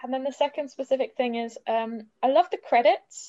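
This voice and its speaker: Dry and close with no echo, this recording has a woman speaking with a southern English accent. Her tone is dark and mellow, with ordinary pitch variation. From southern England. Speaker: podcast guest. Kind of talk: casual chat.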